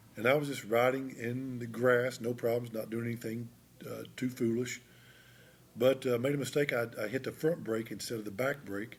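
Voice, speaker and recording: A man with an American accent speaks in a normal speaking voice at a medium pitch. His pace is moderate and his intonation fairly even. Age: 60s. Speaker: retiring high school teacher. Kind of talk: casual interview.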